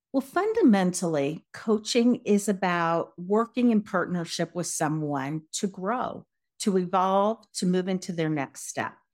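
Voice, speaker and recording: An unremarkable speaking voice from a woman with an American accent, medium pitch, a fairly slow pace and ordinary pitch variation, in a very clean recording with a silent background. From Colorado, US. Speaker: leadership coach. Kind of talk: interview.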